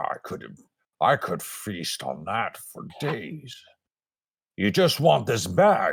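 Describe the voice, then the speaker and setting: Using a put-on character voice with a menacing tone, a man speaks at medium pitch and a very slow pace, leaving long, frequent pauses. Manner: menacing, hungry.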